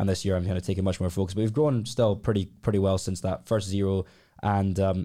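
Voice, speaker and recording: On a very clean recording with a silent background, a man with a Glaswegian accent speaks in a fairly low pitch, his tone dark and mellow and his intonation fairly even. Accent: Glaswegian Scottish. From Scotland, Glasgow. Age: 20s. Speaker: entrepreneur. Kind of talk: casual chat.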